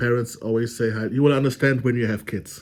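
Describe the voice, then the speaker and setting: A man with a German accent and fairly even intonation, in a very clean recording with a silent background. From Germany. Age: 30s. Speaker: vlogger. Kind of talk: casual monologue. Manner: halting, many fillers.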